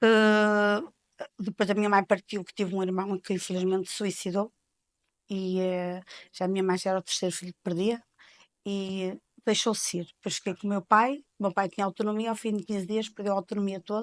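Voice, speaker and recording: A woman's medium-pitched, monotone voice with flat intonation, fairly quick, with big swings in loudness and a dry, close sound with no echo. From Portugal, Penafiel area (north). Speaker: informal caregiver, mother. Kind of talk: interview, personal testimony.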